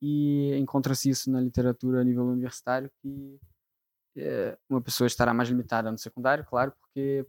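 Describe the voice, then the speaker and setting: Here a man speaks at a moderate pace and medium pitch. His intonation is monotone and flat, and the sound is dry and close with no echo. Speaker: engineering physics student and tutor. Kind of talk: live podcast interview. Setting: live event with audience.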